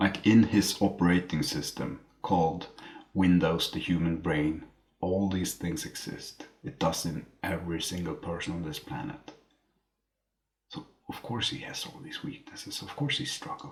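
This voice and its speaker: With a non-native accent, a man speaks at a moderate pace in a very deep, low pitch, with very wide pitch swings and big swings in loudness. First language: not English. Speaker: book reviewer. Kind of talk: casual monologue. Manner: halting.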